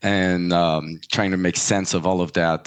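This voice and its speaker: A man with a French accent speaks at a very deep, low pitch. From US, French family. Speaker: pricing and market access consultant. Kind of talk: interview. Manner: hesitant fillers.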